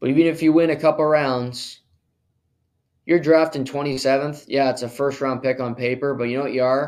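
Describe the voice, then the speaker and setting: Using a moderate pace, a man with a fairly high pitch keeps his intonation fairly even. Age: 20s. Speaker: sports podcast host. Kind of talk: solo sports commentary podcast.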